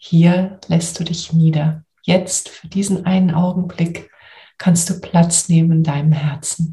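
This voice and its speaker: A woman speaks very slowly in a fairly low pitch, with a soothing, gentle tone that is dark, mellow and somewhat breathy. Her intonation is monotone and flat, with big swings in loudness. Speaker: coach and podcast host. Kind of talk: guided meditation. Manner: slow, soothing, gentle; calm, warm, soft-spoken.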